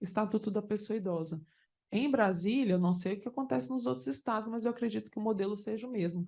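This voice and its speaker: A woman's fairly high pitch with lively intonation. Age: 40s. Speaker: judge. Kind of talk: conference talk. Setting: conference panel with audience. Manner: animated.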